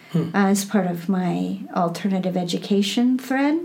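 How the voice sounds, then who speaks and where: A somewhat breathy woman at medium pitch, fairly slow, with a Midwestern American accent. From US Midwest, Iowa. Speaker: Buddhist teacher. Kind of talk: interview.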